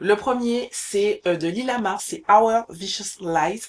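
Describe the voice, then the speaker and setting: A woman speaks with ordinary pitch variation. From Martinique. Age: 20s. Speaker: book content creator. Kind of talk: casual vlog talk to camera. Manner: chatty, some hesitations.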